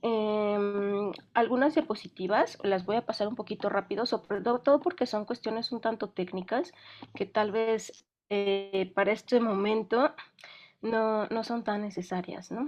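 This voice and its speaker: This woman has a fairly high pitch. Her pitch varies in an ordinary way. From Mexico. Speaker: film sound specialist. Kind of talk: online lecture. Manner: fast when excited; hesitant, many fillers.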